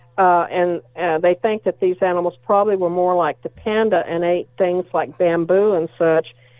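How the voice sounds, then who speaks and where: A woman with a fairly low pitch speaks at a moderate pace in a monotone, flat delivery with hardly any pauses. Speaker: primate expert panelist. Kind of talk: casual chat. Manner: halting, many fillers.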